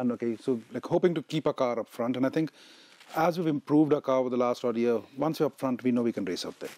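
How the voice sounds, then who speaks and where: A man speaks at a very fast pace with a dark, mellow tone. The recording is dry, with no echo. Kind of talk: interview answer. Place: studio. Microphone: lapel.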